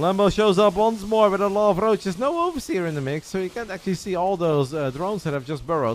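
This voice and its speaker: Talking at a very fast pace, a man with a Dutch accent uses lively intonation and a high pitch. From Netherlands. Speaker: esports commentator. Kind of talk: live commentary; casual chat.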